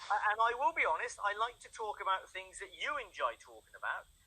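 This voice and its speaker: A man with an English accent at a fairly quick pace. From England. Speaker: English tutor. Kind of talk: online language lesson. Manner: halting, repeats words.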